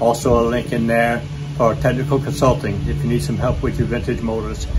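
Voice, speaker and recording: Music plays in the background while the speech moves at a fairly quick pace. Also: man. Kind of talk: channel outro promo talk. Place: open country.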